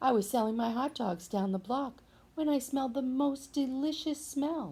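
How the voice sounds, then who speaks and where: A female-sounding voice uses a put-on character voice at a high pitch. The pace is moderate, and the recording is very clean with a silent background. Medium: read story.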